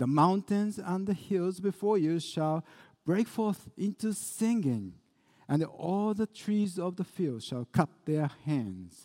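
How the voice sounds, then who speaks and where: The voice has a dark, mellow tone and ordinary pitch variation, moving at a very slow pace. The sound is dry and close, with no echo. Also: man, high pitch for a man. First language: Japanese. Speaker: pastor. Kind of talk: sermon. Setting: church.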